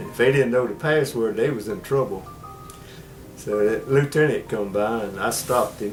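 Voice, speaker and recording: A man talks at a fairly quick pace, with a medium pitch and ordinary pitch variation. Music plays in the background. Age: 80s+. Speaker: war veteran. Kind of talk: interview answer.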